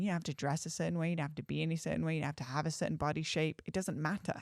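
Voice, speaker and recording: Speaking very fast with an English accent, a woman uses a fairly low voice with vocal fry on a very clean recording against a silent background. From England. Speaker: astrologer and artist. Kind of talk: podcast conversation. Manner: animated.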